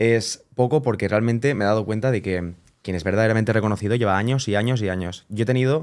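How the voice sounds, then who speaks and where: The pace is very fast, with ordinary pitch variation. The background is quiet. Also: man. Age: 20s. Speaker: wedding photographer; podcast guest. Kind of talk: casual chat. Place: studio. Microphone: studio mic.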